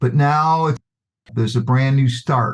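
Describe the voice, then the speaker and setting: At a fairly slow pace, a man speaks with a fairly high pitch and a somewhat breathy voice. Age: 70s. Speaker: podcast guest. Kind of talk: casual chat.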